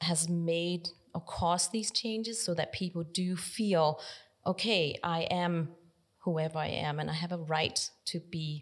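With a Danish accent, the speaker talks at a fairly slow pace in fairly even intonation. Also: woman. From Denmark, countryside. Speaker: nonprofit library director. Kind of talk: interview.

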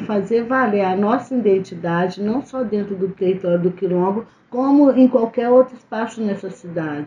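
A woman with a fairly high pitch speaks at a moderate pace with hardly any pauses. Her voice is somewhat breathy, with ordinary pitch variation. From Brazil, Belo Horizonte. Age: 50s. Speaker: community political organizer. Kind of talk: interview.

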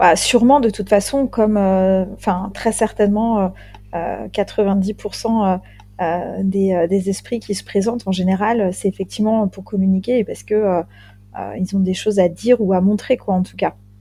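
This woman's voice is somewhat breathy and sits at a medium pitch. Her intonation stays fairly even. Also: fairly slow pace. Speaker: ghost hunter, undertaker. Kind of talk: casual chat.

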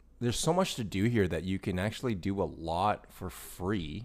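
A man talks with lively intonation, keeping a moderate pace. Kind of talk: casual chat. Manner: relaxed.

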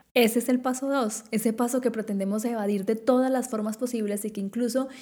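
Her tone is dark and mellow. This woman's pace is moderate. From Colombia, Quindío. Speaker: podcast host. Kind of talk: solo podcast monologue.

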